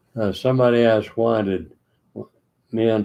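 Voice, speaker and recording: A man talks at a medium pitch with a dark, mellow tone and fairly even intonation. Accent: Texan. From Texas, Austin. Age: 90s. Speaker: retiree sharing memories. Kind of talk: reminiscing monologue. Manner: halting.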